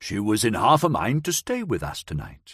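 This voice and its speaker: Growling, a man performs a put-on character voice. His pace is moderate. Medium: read story. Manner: warm, hearty.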